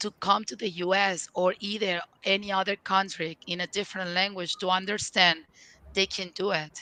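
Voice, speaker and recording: A woman with a Spanish accent speaks at medium pitch and a moderate pace, her bright, sharp tone held to a monotone, flat intonation in a dry, close sound with no echo. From Venezuela. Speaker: leadership and career coach. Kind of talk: interview. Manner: halting, frequent fillers.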